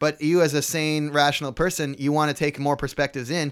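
A man with an American accent has an unremarkable speaking voice at a fairly high pitch. He talks at a fairly quick pace in a very clean recording with a silent background. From San Jose, Bay Area, California. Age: 20s. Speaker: bike messenger and musician. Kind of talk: casual chat. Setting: studio.

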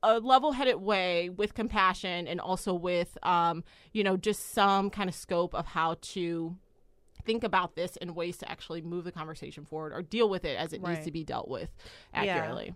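A woman with a normal speaking voice talks at a moderate pace and medium pitch. Her pitch varies in an ordinary way on a very clean recording with a silent background. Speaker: podcast guest.

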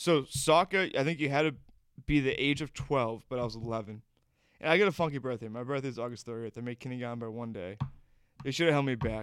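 The speech has an American accent and ordinary pitch variation at a very fast pace. The recording is very clean, with a silent background. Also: man, medium pitch for a man. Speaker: podcast host. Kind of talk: casual comedic podcast banter.

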